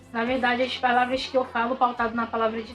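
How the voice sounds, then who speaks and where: Music plays in the background as a woman with a fairly high pitch speaks at a fairly quick pace. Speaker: bible teacher. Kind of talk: bible study lesson. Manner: halting.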